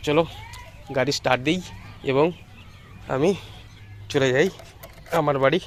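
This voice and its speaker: Over noticeable background noise, a man with a fairly high pitch speaks with fairly even intonation and very even loudness. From India, Nadia district, West Bengal. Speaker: vlogger. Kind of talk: vlog narration.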